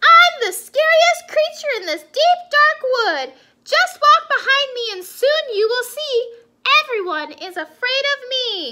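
A put-on character voice moves at a slow pace with few pauses. The tone is bright and sharp, and the pitch swings widely. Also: woman, extremely high pitch for a woman.

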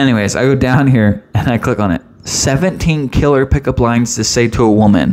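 An animated man's voice with an American accent, medium pitch, ordinary pitch variation and very even loudness. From Pennsylvania, US. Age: 20s. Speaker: podcast host. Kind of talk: casual monologue. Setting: home studio with mic stand. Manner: fast. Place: home room. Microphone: studio mic.

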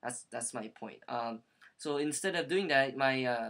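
With a Korean accent, a man talks at a moderate pace in a bright, sharp tone with ordinary pitch variation against a quiet background. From US. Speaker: aspiring social worker. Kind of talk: video monologue. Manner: halting. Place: home room. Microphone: webcam.

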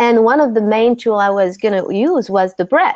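A woman speaks with a French accent and ordinary pitch variation. The sound is dry, with no echo. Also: quiet background. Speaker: breathwork teacher and author; breathwork teacher. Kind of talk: interview. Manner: halting. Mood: calm, reflective. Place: home room. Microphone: video call.

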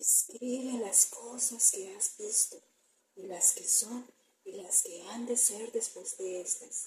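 A woman speaks quietly in a solemn, dramatic tone. Light background noise sits behind her. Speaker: ASMR scripture reader. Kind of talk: scripture reading aloud as ASMR, dramatic narration. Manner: slow, hushed, solemn, dramatic delivery. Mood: dramatic, spooky storytelling. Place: home room. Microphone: phone near.

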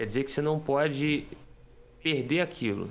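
A man talks with a Brazilian accent. His pace is moderate. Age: 20s. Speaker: guitarist and music teacher; music teacher. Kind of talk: casual interview explaining a productivity method. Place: home room.

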